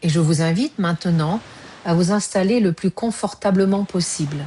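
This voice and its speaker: A woman speaks at a fairly slow pace in a fairly low, somewhat breathy voice with a dark, mellow tone. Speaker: yoga nidra guide. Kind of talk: guided yoga nidra relaxation. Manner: slow, soft-spoken, calm.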